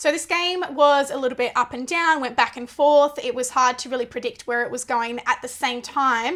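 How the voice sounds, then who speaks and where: A woman with an Australian accent speaks loudly at a moderate pace. Her high voice keeps a fairly even intonation. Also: hardly any pauses. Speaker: netball podcast host. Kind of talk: casual sports chat.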